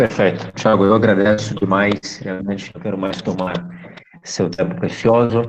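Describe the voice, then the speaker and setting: A man speaks at a moderate pace with a fairly low pitch. His pitch varies in an ordinary way over noticeable background noise. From Minas Gerais, Brazil (Belo Horizonte). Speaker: university lecturer and live host. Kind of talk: live online talk host.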